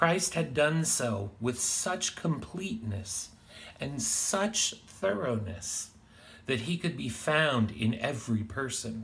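A man speaks very slowly while his pitch swings very widely. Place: home room. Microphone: phone near.

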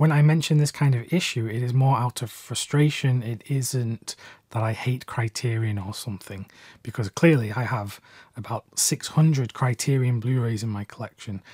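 Somewhat breathy and in a British accent, the voice moves at a moderate pace, with a dry sound with no echo and a quiet background. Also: man, ordinary pitch variation. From UK. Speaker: film collector and video creator. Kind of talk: video essay/review monologue. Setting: YouTube video, solo. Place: home room.

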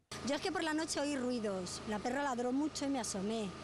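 With ordinary pitch variation, the speech moves at a fairly quick pace in a dry sound with no echo, over noticeable background noise. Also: woman. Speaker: local resident. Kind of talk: interview answer. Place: street. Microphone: handheld.

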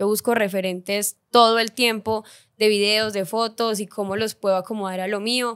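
In a quiet background, a woman speaks at a moderate pace with a fairly high pitch and monotone, flat intonation. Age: 20s. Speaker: influencer and content creator; influencer, content creator. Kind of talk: casual interview chat. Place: studio. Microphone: studio mic.

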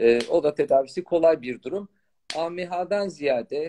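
Over light background noise, a man with a fairly high pitch and a dark, mellow tone speaks at a moderate pace with ordinary pitch variation. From Turkey, Malatya; Turkey. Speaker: fertility doctor. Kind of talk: live-stream Q&A chat. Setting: live video stream. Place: home room. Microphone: phone near.

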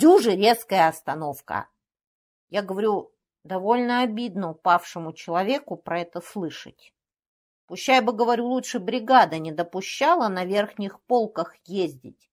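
In an ordinary speaking voice, a woman talks at a fairly slow pace with a medium pitch and lively intonation, on a very clean recording with a silent background. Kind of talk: literary audiobook reading of a comic skaz monologue.

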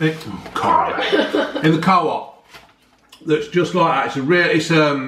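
A man talks fairly slowly in a fairly high voice with ordinary pitch variation. The room echo is audible, with light background noise behind him. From England. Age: 50s. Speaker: YouTuber. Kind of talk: casual review chat. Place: home room. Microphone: webcam.

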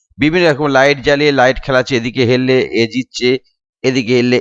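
A man speaks in an ordinary speaking voice at medium pitch, with a dry, close sound, no echo and a quiet background. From West Bengal, India (Nadia, Shantipur). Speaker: DJ and sound system operator, YouTuber. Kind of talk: vlog monologue, roasting rant.

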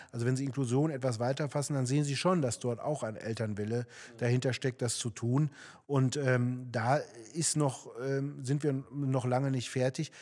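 A man speaks at a moderate pace with fairly even intonation over a quiet background. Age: 40s. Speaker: local politician, candidate. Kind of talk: political interview. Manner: hesitant, many fillers. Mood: calm, explanatory. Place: studio. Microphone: studio mic.

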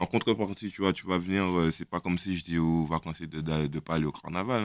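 The speech moves at a fairly quick pace with fairly even intonation. The sound is dry with no echo, over a quiet background. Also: man. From Guadeloupe. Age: 20s. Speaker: rapper; guest. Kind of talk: casual interview. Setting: radio studio. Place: studio. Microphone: studio mic.

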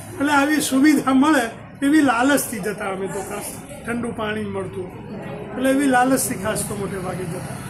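Amid noticeable background noise and audible room echo, a man with an extremely high pitch shows ordinary pitch variation and big swings in loudness. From north Gujarat, India (Unjha area), raised in Ahmedabad. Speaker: retired professor and folklore researcher. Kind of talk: interview, life story.

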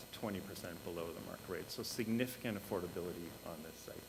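Speech rushes at a very fast pace amid noticeable background noise and audible room echo. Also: man. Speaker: housing development consultant. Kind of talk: presentation to council. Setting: council meeting. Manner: halting.

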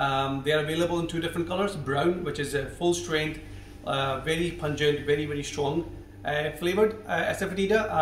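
Fairly quick speech with audible room echo and light background noise. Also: man, ordinary pitch variation. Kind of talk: cooking tutorial talk to camera. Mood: warm, enthusiastic. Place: kitchen.

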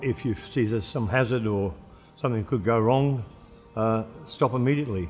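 A man at a moderate pace with ordinary pitch variation, long and frequent pauses, and faint music in the background. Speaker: retired mine worker. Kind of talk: interview answer. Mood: earnest, reflective. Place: studio.

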